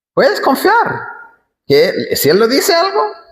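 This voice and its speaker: A man with an English accent speaks amid audible room echo. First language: English (speaking Spanish). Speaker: pastor. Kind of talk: sermon.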